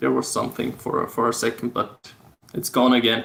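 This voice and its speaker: A man talks at a medium pitch, his voice showing vocal fry. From Austria, Vorarlberg. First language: German. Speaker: guitar builder. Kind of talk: live stream chat.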